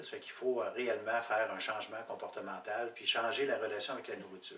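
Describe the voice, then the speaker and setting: A man's fairly quick speech amid audible room echo and noticeable background noise. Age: 60s. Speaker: program participant. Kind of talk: testimony. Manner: halting.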